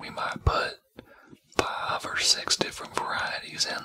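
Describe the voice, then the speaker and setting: Someone whispers at a very slow pace in a Texas accent. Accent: Texas, Southern US. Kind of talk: ASMR roleplay. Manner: whispered.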